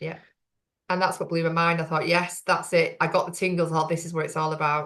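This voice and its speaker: A woman with a Lancashire accent, fairly low-pitched, at a fairly quick pace in a monotone, flat intonation. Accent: Bolton. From northern England, Bolton. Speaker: women's business networking host. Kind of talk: interview.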